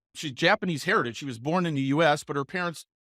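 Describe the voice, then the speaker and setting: A plain, everyday voice from a man, fairly high in pitch with ordinary pitch variation, at a fairly quick pace, dry and close with no echo, on a very clean recording with a silent background. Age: 60s. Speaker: podcast host and real estate coach. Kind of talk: casual interview chat.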